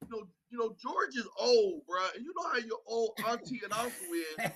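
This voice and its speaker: A man projects a raised voice at an extremely high pitch. His pitch swings very widely, and his pace is moderate. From Northeast Ohio, Youngstown. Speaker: co-host. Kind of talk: casual sports talk show. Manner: animated, playful.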